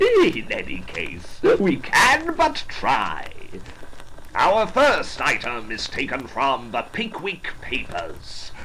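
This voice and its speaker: Over clear background noise, a man puts on a theatrical character voice and speaks very slowly. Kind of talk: melodramatic Victorian stage showmanship. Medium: stage play. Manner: grandiloquent, theatrical.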